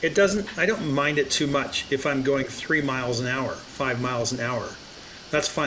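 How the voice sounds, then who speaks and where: A man's voice comes with audible room echo over noticeable background noise. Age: 60s. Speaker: AI business consultant. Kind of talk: interview conversation.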